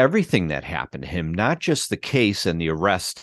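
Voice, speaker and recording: Using vocal fry and very wide pitch swings, a man with an American accent speaks at a fairly quick pace in a dry, close sound with no echo against a quiet background. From Chicago, US Midwest. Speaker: documentary filmmaker. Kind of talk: interview conversation. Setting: remote video call.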